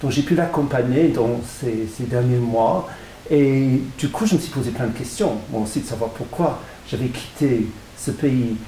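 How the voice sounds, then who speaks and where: Recorded with noticeable background noise and audible room echo, a man talks fairly slowly at a medium pitch with ordinary pitch variation. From England. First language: English (speaking French). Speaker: author. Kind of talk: interview. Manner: halting, frequent repetitions.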